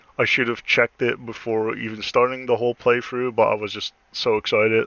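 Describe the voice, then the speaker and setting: A man mumbles. His pitch sits at a medium level. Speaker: gaming streamer. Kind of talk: gameplay commentary. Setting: live stream. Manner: mumbling; halting.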